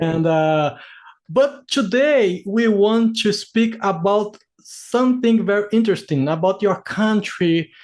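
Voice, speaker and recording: A man's high voice in a Brazilian accent, very slow, with ordinary pitch variation. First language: Portuguese. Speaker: interviewer, English learner. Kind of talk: casual interview. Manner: halting.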